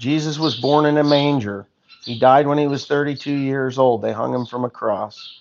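Intonation stays fairly even at a moderate pace. Light background noise can be heard. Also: man. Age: 50s. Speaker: farmer livestreaming on YouTube; farmer vlogger. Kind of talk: casual livestream chat reading comments. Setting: outdoors on a farm. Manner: rambling, halting with many fillers. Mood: opinionated, somewhat heated. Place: garage. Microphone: phone near.

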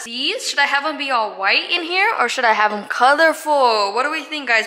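A woman's very fast delivery with ordinary pitch variation. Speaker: vlogger. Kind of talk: casual vlog chat. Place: home room. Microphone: phone near.

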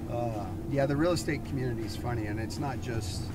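A man talks at a moderate pace while loud background noise fills the clip. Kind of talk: casual conversation. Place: car.

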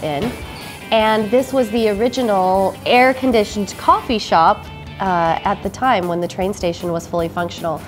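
Clear background music behind a woman talking at a moderate pace. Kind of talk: interview answer. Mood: upbeat, promotional. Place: cafe.

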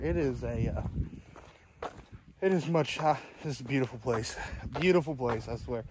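The man talks at a fairly quick pace. His voice sounds dry with no echo, and there is noticeable background noise. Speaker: travel photographer vlogger. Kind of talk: casual vlog chat. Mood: happy, relaxed. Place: forest. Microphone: phone near.

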